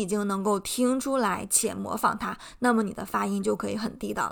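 The recording is very clean, with a silent background. A woman speaks in it at a moderate pace. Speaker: podcast host, English teacher. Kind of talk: educational monologue.

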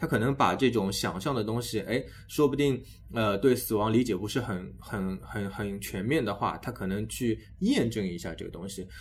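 At a moderate pace, a man speaks at a medium pitch with ordinary pitch variation, in an ordinary speaking voice. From Shanghai, China. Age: 30s. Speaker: education podcast host. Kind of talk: casual interview chat.

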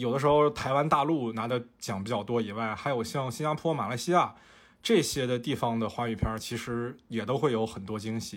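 A man speaks at a fairly quick pace in a medium pitch with ordinary pitch variation, on a very clean recording with a silent background. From Fujian, China. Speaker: podcast host and photographer. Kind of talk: casual chat.

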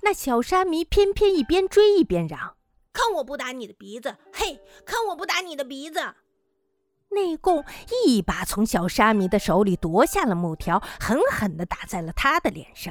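A woman's high voice at a fairly slow pace, with very wide pitch swings and big swings in loudness, dry and close with no echo. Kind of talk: literary audiobook narration of a short story.

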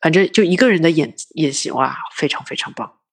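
This woman's pitch is fairly low, with ordinary variation. She moves at a fairly quick pace. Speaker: finance worker and film fan. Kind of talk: casual chat. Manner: frequent hearty laughter.

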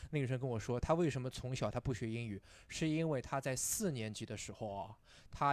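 On a very clean recording with a silent background, a man with a normal speaking voice talks fairly quickly at a medium pitch. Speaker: English teacher and stand-up comedian. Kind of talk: casual chat.

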